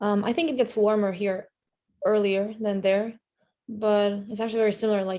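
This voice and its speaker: Her tone dark and mellow, a woman speaks at medium pitch and a moderate pace in a flat monotone. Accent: Lithuanian. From Lithuania. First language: Lithuanian. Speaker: student athlete. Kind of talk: podcast interview.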